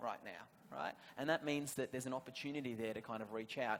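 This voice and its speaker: A man talks at a fairly quick pace with an Australian accent. His pitch varies in an ordinary way. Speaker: government policy panelist. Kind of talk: panel discussion.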